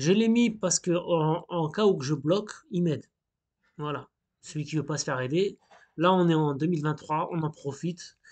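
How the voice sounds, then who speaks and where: At a moderate pace with long, frequent pauses, a man speaks in a fairly high pitch with ordinary pitch variation. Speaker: hobbyist coding tutorial youtuber. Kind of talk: screen-recorded coding tutorial. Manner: casual, hesitant with fillers.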